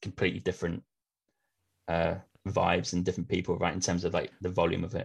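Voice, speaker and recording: Against a quiet background, a man with an English accent speaks in a very deep, low pitch, somewhat breathy, with fairly even intonation. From eastern England. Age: 30s. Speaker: travel podcast host. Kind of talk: casual interview chat.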